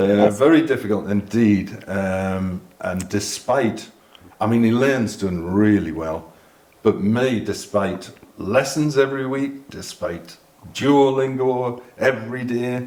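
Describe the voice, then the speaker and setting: A man with a Geordie accent at a very slow pace, with ordinary pitch variation and audible room echo. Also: medium pitch for a man. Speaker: expat interviewee. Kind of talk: casual chat.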